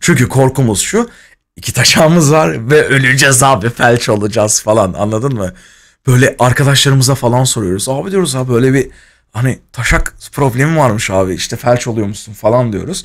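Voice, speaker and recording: Against a quiet background, a man talks at a moderate pace in an animated tone with ordinary pitch variation. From Turkey, Izmir; Turkey. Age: 20s. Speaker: streamer. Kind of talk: casual storytelling on a livestream. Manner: animated, laughing.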